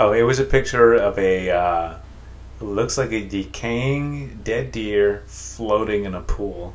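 The voice swings very widely in pitch at a very slow pace. Noticeable background noise runs underneath. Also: man, fairly low pitch for a man. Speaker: podcast host. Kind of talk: casual comedy chat podcast. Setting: studio, standing at microphone.

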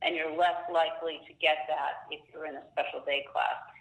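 Against noticeable background noise, a woman's speech moves at a fairly quick pace. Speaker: special education attorney. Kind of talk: expert Q&A interview.

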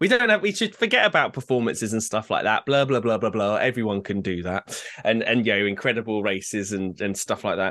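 This man speaks fairly quickly with an English accent, his tone bright and sharp, his pitch medium and his pitch variation ordinary. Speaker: podcast co-host. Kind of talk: casual chat. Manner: fast.

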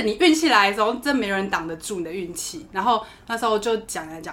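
The tone is bright and sharp, carried by lively intonation. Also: woman. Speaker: flight attendant. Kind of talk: casual chat. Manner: animated.

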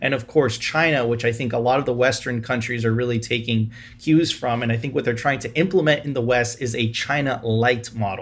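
Speaking fairly quickly with hardly any pauses, a man has a medium-pitched, somewhat breathy voice and fairly even intonation. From Venezuela. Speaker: bitcoin podcast host. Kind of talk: interview.

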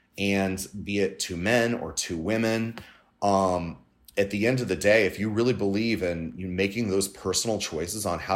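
This man speaks with a Californian accent at a moderate pace. His voice is fairly low. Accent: Californian American. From Southern California. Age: 40s. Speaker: LGBTQ Republican organization leader. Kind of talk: interview. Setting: remote from home.

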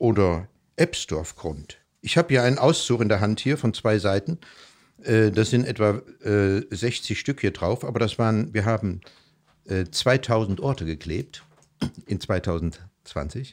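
A man with a fairly low pitch and lively intonation speaks at a very slow pace, leaving long, frequent pauses. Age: 60s. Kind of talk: casual interview. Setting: living room at home.

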